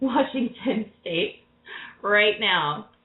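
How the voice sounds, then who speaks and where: A woman speaks loudly. Her pace is very slow. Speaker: tarot reader radio host. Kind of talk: call-in radio show. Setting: live radio show with callers. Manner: loud and boisterous.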